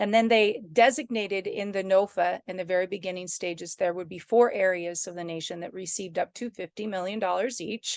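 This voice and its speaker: Speaking at a fairly quick clip with hardly any pauses, a woman with a medium pitch keeps her intonation fairly even while her loudness swings widely. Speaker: regional development commission director. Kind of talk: online meeting presentation. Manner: fast; casual.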